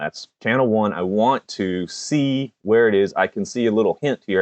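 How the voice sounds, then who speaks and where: With an American accent, a man speaks at a moderate pace, his fairly low voice carrying lively intonation. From US South, Georgia. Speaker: electronics YouTuber. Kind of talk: live stream tutorial.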